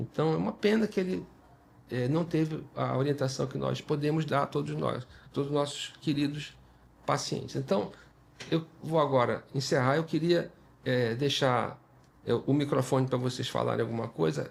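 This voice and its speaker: Pausing long and often, a man with a fairly high pitch talks at a moderate pace with ordinary pitch variation and some vocal fry. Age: 60s. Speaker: dermatologist and podcast host. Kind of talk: podcast conversation. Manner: halting, many fillers and repetitions.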